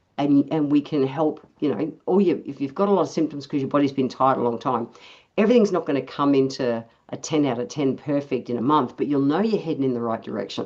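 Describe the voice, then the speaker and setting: With an Australian accent, a woman talks very fast with lively intonation and a very deep, low pitch. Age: 60s. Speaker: naturopath and osteopath. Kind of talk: casual health chat. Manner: animated.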